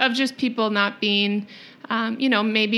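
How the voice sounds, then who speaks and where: With an Upper Midwest accent, a woman speaks at a moderate pace in a fairly high voice. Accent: Upper Midwest American. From Rochester, Minnesota, US Midwest. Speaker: financial planner, business owner. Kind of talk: casual interview chat.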